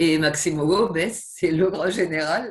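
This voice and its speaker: A woman speaks in a southwestern French accent. Her voice is somewhat breathy. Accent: southwestern French, noticeable. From southwest France. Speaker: professor. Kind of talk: interview. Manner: hesitant, many fillers and repetitions.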